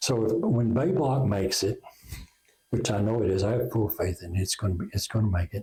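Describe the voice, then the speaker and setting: With an Oklahoma accent, a man talks at a fairly quick pace in a somewhat breathy, dark, mellow tone, his medium pitch showing ordinary variation and his loudness very even. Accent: Oklahoma rural Southern US. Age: 60s. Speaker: inventor and company founder. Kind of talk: interview.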